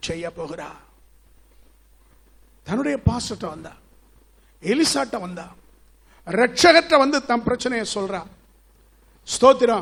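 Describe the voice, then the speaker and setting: A man speaks at an extremely high pitch, with very wide pitch swings. His loudness swings a lot too. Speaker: pastor delivering a sermon. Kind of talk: church sermon preaching.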